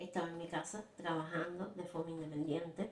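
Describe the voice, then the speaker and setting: Over noticeable background noise, a woman talks with a Cuban accent. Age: 50s. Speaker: textile artist. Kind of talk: personal story told to camera.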